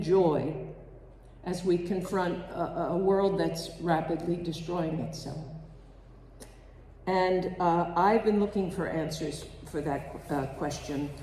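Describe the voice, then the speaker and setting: A woman's somewhat breathy, dark and mellow voice, fairly low in pitch, at a very slow pace with long, frequent pauses, in audible room echo. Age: 80s. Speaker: congregation member giving a reflection. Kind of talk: spiritual reflection at a service.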